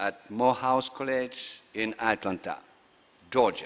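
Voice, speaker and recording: A man speaks with a French accent. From France. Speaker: conference session chair, economist. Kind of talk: chairing remarks at conference. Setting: stage with audience. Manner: halting, many fillers.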